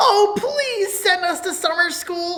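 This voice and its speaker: In a squeaky, put-on character voice at an extremely high pitch, the speaker goes at a fairly slow pace over clear background noise. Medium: comedy sketch. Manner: stern, authoritarian.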